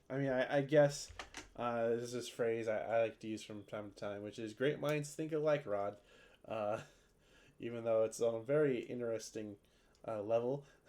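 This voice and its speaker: Quietly and at a moderate pace, a man at medium pitch speaks with long, frequent pauses. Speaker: video game streamer. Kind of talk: casual livestream chat while gaming. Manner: monotone; quiet, muted.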